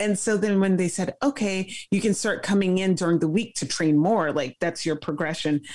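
A woman's medium-pitched voice with an American accent, ordinary pitch variation, a moderate pace and hardly any pauses, against a quiet background. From Brooklyn, New York (Flatbush); New York. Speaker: former Olympic fencer; guest. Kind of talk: interview. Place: home room. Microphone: video call.

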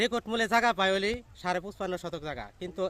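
This man uses a raised, projected voice at a high pitch. His tone is bright and sharp, with ordinary pitch variation. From Bangladesh, Tangail district. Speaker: villager in land dispute. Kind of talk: testimony.

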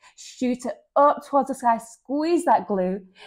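The pace is fairly slow. The background is quiet. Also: woman. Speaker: yoga instructor. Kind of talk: workout instruction cues.

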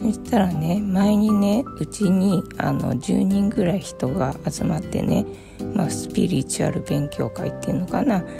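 Music plays in the background as a woman speaks. Her tone is relaxed and her pace is moderate. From Tokyo, Japan. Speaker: online content creator. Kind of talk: casual talk to camera, spiritual musings. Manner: relaxed, casual, rambling.

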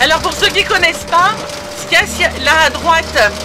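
With music in the background, a woman projects a raised voice at a fairly slow pace with ordinary pitch variation. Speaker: motorhome traveler vlogger. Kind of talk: casual vlog chat. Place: car. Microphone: phone near.

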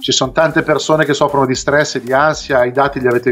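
Faint music sits in the background. Over it, a man talks. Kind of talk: interview answer. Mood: frustrated, earnest complaint. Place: home room. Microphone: video call.

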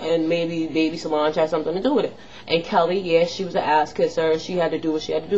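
Over light background noise, a woman with a fairly low pitch sounds animated, with ordinary pitch variation. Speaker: beauty and pop culture vlogger; pop culture vlogger. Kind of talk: casual vlog commentary. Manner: rambling, animated. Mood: opinionated, annoyed. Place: home room. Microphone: webcam.

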